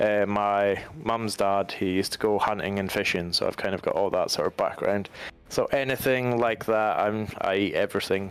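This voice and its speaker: A man talks at a moderate pace in a Highland Scottish accent. His loudness stays very even. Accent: Highland Scottish, sometimes taken for Irish. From Scottish Highlands. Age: 20s. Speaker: gaming streamer. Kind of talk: casual chat. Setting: live stream.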